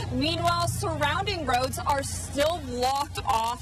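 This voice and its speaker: Here a woman speaks with a high pitch. There is noticeable background noise. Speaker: TV news reporter. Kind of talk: TV news report.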